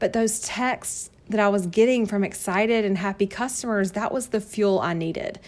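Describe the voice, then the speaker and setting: A woman with a Southern US accent speaks at medium pitch in a warm tone. Her pace is moderate and her intonation fairly even. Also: hardly any pauses. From North Carolina, US South. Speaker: direct sales consultant and podcast host. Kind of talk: sales pitch / personal story monologue. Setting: home office. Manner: warm, chatty, laughs often.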